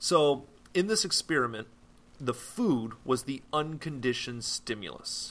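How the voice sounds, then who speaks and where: Speaking fairly slowly in a normal speaking voice, a man keeps a fairly high pitch. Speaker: podcast host. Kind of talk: educational podcast monologue, casual lecture. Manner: casual, rambling, with filler words.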